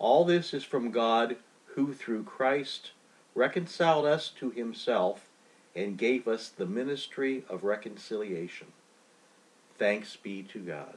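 A man speaks at medium pitch and a very slow pace, with long, frequent pauses. His tone is solemn, yet his intonation is lively. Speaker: bishop leading prayer. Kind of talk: liturgical noon prayer, read aloud. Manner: formal, measured, reverent; slow, solemn, even pacing.

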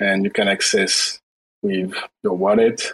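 Fairly slow speech from a man, dry and close-sounding with no echo. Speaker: blockchain project team member. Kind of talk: pitch and discussion.

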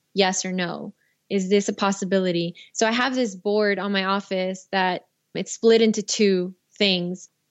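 A woman's normal speaking voice, medium in pitch, with fairly even intonation at a moderate pace. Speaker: filmmaker and director. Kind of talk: casual interview.

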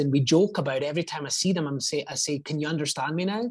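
In an American accent, a man speaks at a fairly quick pace and a fairly high pitch. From Scotland. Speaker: real estate agent. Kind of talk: casual interview chat.

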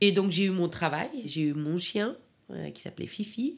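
A woman's lively intonation carries through her fairly slow pace. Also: very clean recording, silent background. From Afghanistan, Kabul; in France since age 15. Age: 40s. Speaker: caterer. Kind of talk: personal testimony. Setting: at home, in her living room. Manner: halting.

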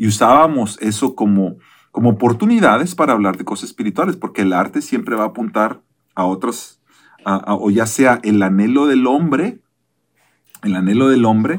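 This man has an unremarkable speaking voice, medium in pitch, moving at a moderate pace with lively intonation. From Mexico. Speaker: pastor. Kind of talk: casual chat.

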